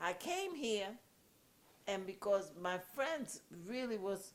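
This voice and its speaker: The speaker talks with a Puerto Rican accent. Their intonation is lively. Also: woman. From Puerto Rico. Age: 80s+. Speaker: activist. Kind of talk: casual chat. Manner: loud; animated.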